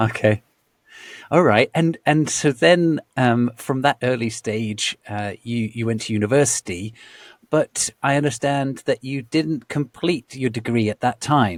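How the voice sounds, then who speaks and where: With a British accent, a man talks at a fairly slow pace in a medium pitch with ordinary pitch variation, the sound dry and close with no echo on a very clean recording against a silent background. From Britain. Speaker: podcast host. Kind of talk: interview. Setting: podcast. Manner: stammering.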